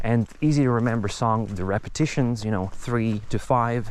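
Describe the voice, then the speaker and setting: A man with a Czech accent talks at a moderate pace and medium pitch, showing ordinary pitch variation. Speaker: nature vlogger. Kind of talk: casual walking monologue. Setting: outdoors, walking in nature. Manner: halting, many fillers.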